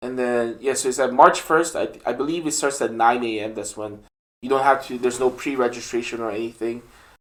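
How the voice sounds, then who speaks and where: With a non-native accent and fairly even intonation, the speaker moves at a fairly quick pace in a very clean recording with a silent background. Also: man, medium pitch for a man. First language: not English. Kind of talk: casual chat. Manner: hesitant, many fillers.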